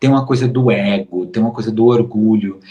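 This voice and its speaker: Here a man speaks at a medium pitch. His voice is somewhat breathy. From Brazil, Recife (Pernambuco). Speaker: modeling agency booker. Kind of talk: interview. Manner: slow, measured; deliberate, clearly explained.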